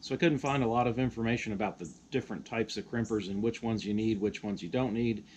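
A man speaks fast in a fairly low pitch with ordinary pitch variation. His tone is slightly mellow.

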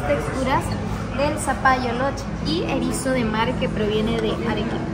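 A woman keeps a moderate pace against loud background noise. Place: cafe. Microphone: phone near.

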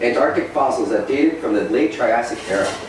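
A man talks at a fairly quick pace. The room echo is audible, and there is noticeable background noise. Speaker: reader at open mic. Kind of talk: reading aloud prose. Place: cafe. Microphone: camera far.

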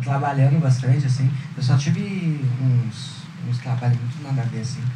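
A man keeps a moderate pace and fairly even intonation while noticeable background noise plays. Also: medium pitch for a man. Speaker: stand-up comedian. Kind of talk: stand-up comedy set. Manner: casual slangy delivery.

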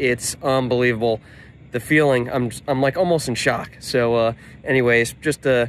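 A man talks at a moderate pace with very even loudness and fairly even intonation. The sound is dry with no echo, over light background noise. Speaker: car parts business vlogger. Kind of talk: casual vlog chat. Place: street. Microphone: phone near.

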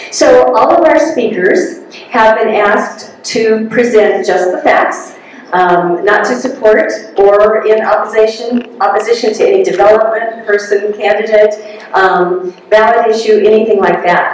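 Strong room echo surrounds a woman's voice. She speaks at a fairly slow pace with ordinary pitch variation. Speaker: meeting host. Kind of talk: announcements to an audience. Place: hall.

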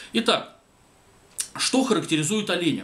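A man at a very fast pace, with very wide pitch swings. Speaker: commentator. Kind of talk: commentary monologue. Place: home room.

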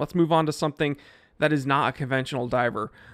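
Against a quiet background, a man talks in an animated tone. His pitch variation is ordinary. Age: 30s. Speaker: YouTube watch reviewer; watch reviewer streamer. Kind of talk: casual video monologue. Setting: home live streaming setup. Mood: relaxed, opinionated. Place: home room. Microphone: studio mic.

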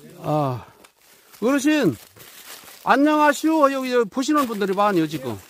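The speech has long, frequent pauses. The sound is dry, with no echo. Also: moderate pace. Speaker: vlogger filming an elder. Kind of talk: casual vlog talk to camera. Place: forest. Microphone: phone near.

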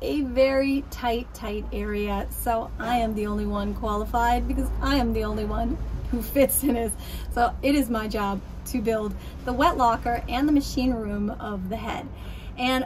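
Against light background noise, a woman speaks at a moderate pace. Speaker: boat restorer vlogger. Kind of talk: casual vlog chat. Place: boat. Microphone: phone near.

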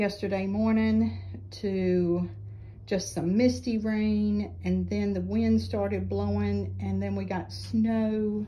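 Slowly and with little pitch movement, a woman speaks at a medium pitch in a dark, mellow tone, with faint background noise behind her.

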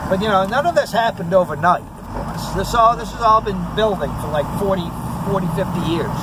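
Loud background noise surrounds speech delivered at a moderate pace, with a dry sound with no echo. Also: man, ordinary pitch variation. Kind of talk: casual political chat. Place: car. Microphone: phone near.

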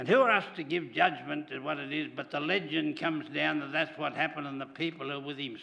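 A man with an Australian accent, vocal fry, and a bright, sharp tone. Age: 80s+. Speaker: church charity leader; preacher. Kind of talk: church service leading. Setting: church. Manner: halting. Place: church. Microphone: podium.

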